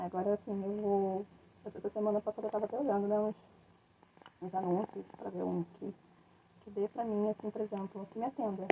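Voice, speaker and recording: A soft-spoken woman of medium pitch talks at a fairly quick pace in a monotone, flat intonation, with long, frequent pauses. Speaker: craft entrepreneur. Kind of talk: live stream tutorial. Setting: live stream at home. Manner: casual, rambling.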